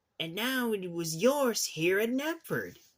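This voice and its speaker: A man performs a put-on character voice at a high pitch for a man, delivered at a fairly slow pace. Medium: read story.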